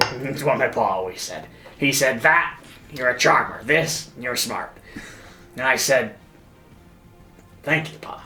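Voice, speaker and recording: A raspy put-on character voice at a fairly slow pace, with long, frequent pauses, ordinary pitch variation and faint music in the background. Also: man, medium pitch for a man. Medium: actual play. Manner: earnest, simple.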